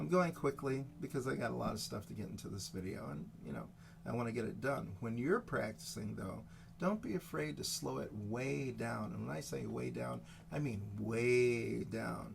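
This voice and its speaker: A man's moderate-paced speech comes with an audible echo from the room. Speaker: guitar teacher. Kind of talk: tutorial. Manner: unrehearsed, hesitant.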